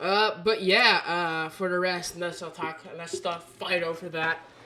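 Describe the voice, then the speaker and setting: A woman speaks at a fairly slow pace in a fairly low pitch. Her tone is bright, sharp and animated. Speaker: podcast co-host. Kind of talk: casual chat.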